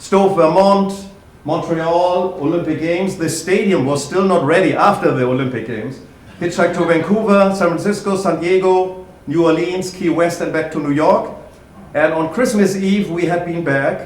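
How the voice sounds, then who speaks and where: A man with a German accent, high-pitched and at a moderate pace, with ordinary pitch variation, noticeable background noise and audible room echo. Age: 50s. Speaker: historian and lecturer. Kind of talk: public talk. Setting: library event with audience.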